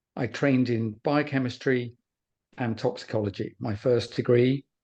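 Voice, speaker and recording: A man with an English accent, a dark, mellow tone and fairly even intonation, against a quiet background. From England. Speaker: former pharmaceutical research scientist. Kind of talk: webinar presentation. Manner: hesitant, with fillers and repeats.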